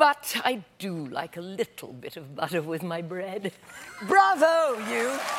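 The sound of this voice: An unforced reading voice carries the text.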